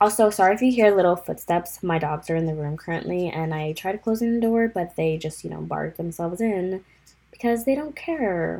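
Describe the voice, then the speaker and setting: A woman speaks at a fairly quick pace with lively intonation. Her voice sits fairly low and has a dark, mellow tone. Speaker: podcast host. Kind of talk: casual solo podcast talk. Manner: casual, filler-heavy.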